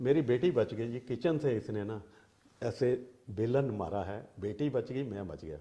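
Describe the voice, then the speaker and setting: A man's voice sits at a medium pitch with a dark, mellow tone. It is somewhat breathy and swings a lot in loudness. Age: 60s. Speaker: interviewee in family dispute. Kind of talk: interview. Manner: agitated.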